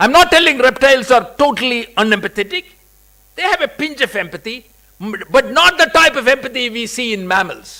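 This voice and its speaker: In a raised, projected voice, a man speaks at an extremely high pitch with very wide pitch swings and a moderate pace. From India, Kerala. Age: 60s. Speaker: convocation speaker. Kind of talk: commencement speech.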